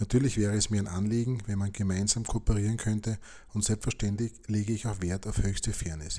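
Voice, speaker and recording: Somewhat breathy speech moves at a fairly quick pace in a very clean recording with a silent background. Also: man. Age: 50s. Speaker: podcast host and football fan. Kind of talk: scripted podcast introduction.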